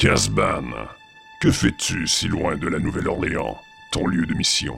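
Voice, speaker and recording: In a put-on character voice with a very deep, low pitch, a man speaks fairly slowly over clear background music. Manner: overdone, haughty, condescending.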